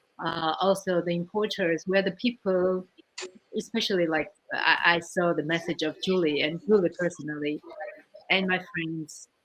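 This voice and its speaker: A woman with a Georgian accent, fairly low pitch, fairly even intonation and a moderate pace. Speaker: winemaker. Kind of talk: panel discussion. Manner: halting.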